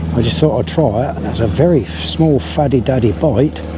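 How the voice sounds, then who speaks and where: The intonation is lively. Noticeable background noise runs behind the voice. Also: man. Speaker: angler vlogger. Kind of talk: live commentary while fishing. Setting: outdoors at a fishing lake. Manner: casual, chatty; loud.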